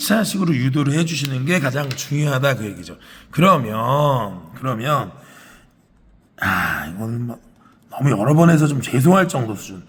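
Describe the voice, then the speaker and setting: Over audible room echo, a man at medium pitch speaks with lively intonation. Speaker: math teacher. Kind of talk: lecture.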